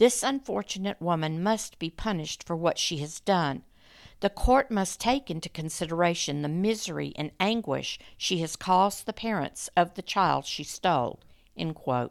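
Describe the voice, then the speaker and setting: Lively intonation runs through a woman's fairly low voice at a moderate pace. The recording is very clean, with a silent background. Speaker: true crime podcast host. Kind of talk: scripted true-crime narration. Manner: grave, measured storytelling; dramatic, hushed tension; formal, clear, steady.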